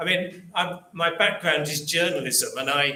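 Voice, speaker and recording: With an English Midlands accent, a man with a fairly high voice speaks at a moderate pace and fairly even intonation amid noticeable background noise. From English Midlands, Rugby. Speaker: local history author and speaker. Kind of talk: public talk. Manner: hesitant, many ums and repeats.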